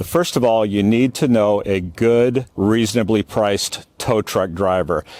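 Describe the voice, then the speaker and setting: A man's plain, everyday voice, fairly low in pitch, at a fairly slow pace with hardly any pauses and ordinary pitch variation. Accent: American. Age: 60s. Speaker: salvage yard veteran. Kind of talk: casual tutorial. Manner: casual, with fillers.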